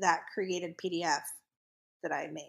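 A woman with an American accent speaks at a fairly slow pace on a very clean recording, silent background. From upstate New York. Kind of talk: casual interview.

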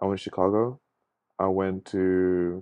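This man speaks in a southern English accent. His pitch is very deep and low. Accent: English, southern England. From England, Luton. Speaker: photographer. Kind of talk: casual chat. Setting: home recording.

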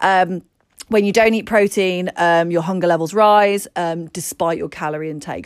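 A woman with an English accent, fairly low-pitched, with ordinary pitch variation, on a very clean recording against a silent background. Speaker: podcast co-host, health and fitness coach. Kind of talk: casual chat with health advice.

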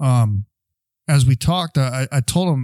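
A man's medium-pitched voice, dry and close with no echo. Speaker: podcast co-host, Navy veteran. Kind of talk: casual podcast conversation about mental health. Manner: talks loudly without meaning to.

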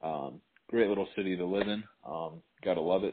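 A man with an American accent and a very deep, low pitch, at a moderate pace with ordinary pitch variation. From Racine, Wisconsin. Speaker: podcast co-host. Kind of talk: casual chat.

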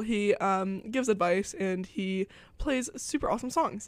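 A woman talks in a plain, everyday voice, pitched fairly high. Her intonation is lively. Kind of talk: radio DJ patter between songs, student college radio host. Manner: chatty and casual, filled with ums and self-corrections; upbeat, playful and self-deprecating, excited about her show.

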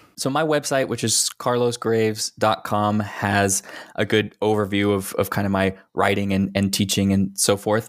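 Speaking at a moderate pace, a man with a fairly low pitch has an unremarkable speaking voice, fairly even intonation and very even loudness. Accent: American. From Texas. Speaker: writer. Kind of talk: casual chat.

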